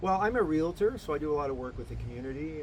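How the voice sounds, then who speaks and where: A man with a Canadian accent speaks with very wide pitch swings, and audible room echo surrounds his voice. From Canada, Toronto. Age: 60s. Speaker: mayoral candidate. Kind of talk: casual interview. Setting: at his home.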